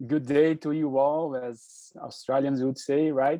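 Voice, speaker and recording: A man speaks with a Brazilian accent. His pitch is fairly high. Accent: non-native English, Brazilian Portuguese. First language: Portuguese. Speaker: physician and presenter. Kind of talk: online presentation. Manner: halting, hesitant.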